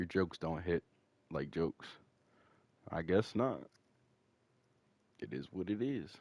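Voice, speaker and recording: A man speaks at a fairly slow pace with long, frequent pauses. His very deep, low voice has vocal fry. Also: lively intonation. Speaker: gaming streamer. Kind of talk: live gameplay stream chat. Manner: casual.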